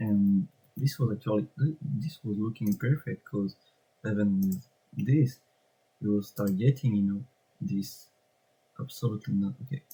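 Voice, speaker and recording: At a moderate pace, a man with a fairly low, dark, mellow voice that is somewhat breathy speaks with ordinary pitch variation and long, frequent pauses. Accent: French. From France. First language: French. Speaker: trading content creator. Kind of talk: screen-share tutorial. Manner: halting, with many fillers.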